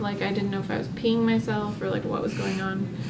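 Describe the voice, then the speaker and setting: A woman speaks over loud background noise. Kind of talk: casual vlog chat.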